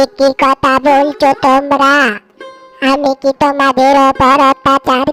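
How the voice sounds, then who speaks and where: A cartoonish character voice moves at a fairly slow pace, with faint music in the background. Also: woman. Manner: gentle, meek.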